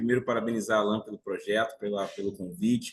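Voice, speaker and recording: A man talks at a fairly quick pace. He has a normal speaking voice with a fairly low pitch. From Brazil, Bahia (Salvador). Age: 40s. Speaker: financial market professional. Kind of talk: interview, telling life story.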